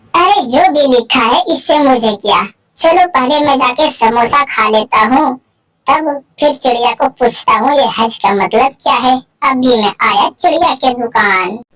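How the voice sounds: A woman puts on a cartoonish character voice. It sits at a high pitch. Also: moderate pace.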